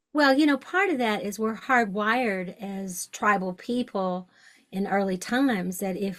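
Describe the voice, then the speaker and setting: A woman with an unremarkable speaking voice talks at a fairly slow pace and medium pitch, with ordinary pitch variation. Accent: American. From US South, Western Kentucky. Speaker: shamanic podcast host. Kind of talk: interview conversation.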